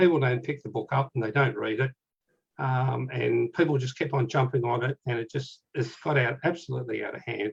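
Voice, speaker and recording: Speaking at a fairly quick pace, a man with an Australian accent has a somewhat breathy voice at medium pitch. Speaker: Titanic author and researcher. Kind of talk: casual chat.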